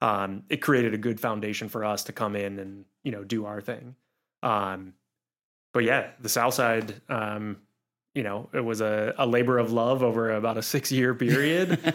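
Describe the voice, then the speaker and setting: A man with a plain, everyday voice, medium pitch and fairly even intonation, at a moderate pace, on a very clean recording with a silent background. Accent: American. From Pittsburgh, western Pennsylvania. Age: 30s. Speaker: climbing gym business owner. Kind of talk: interview conversation. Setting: studio.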